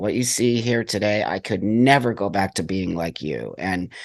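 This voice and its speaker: A man speaks at a moderate pace with ordinary pitch variation. He has an unremarkable speaking voice. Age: 60s. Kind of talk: interview.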